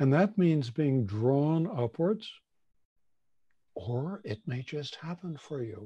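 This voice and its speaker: Somewhat breathy and dark, mellow in tone, a man speaks at a very slow pace with long, frequent pauses, a fairly high pitch and lively intonation. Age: 70s. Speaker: shamanic teacher. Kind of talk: guided meditation.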